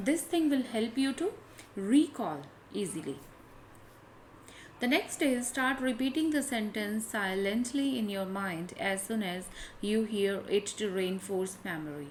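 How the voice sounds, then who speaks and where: With an Indian accent, a woman talks fairly slowly in a fairly high, somewhat breathy voice, her pitch swinging very widely between long, frequent pauses. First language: Hindi. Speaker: English test tutor. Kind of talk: tutorial.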